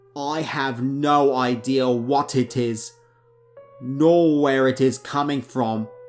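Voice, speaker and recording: With music in the background, a man speaks at a very slow pace, his fairly high pitch held in fairly even intonation. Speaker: horror story narrator. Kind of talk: horror story narration.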